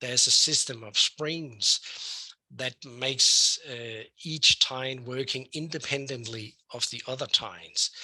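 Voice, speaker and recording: The tone is bright and sharp, with fairly even intonation. Loudness rises and falls in big swings. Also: man, medium pitch for a man. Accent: Danish. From Denmark. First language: Danish. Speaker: professor, weed scientist. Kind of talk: lecture. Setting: online webinar. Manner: hesitant, with many fillers.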